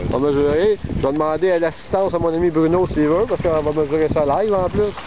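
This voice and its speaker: This man talks at a very fast pace with a fairly high pitch. His loudness is very even, with noticeable background noise. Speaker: fishing show host. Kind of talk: outdoor interview. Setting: outdoors at a fishing tournament. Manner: animated.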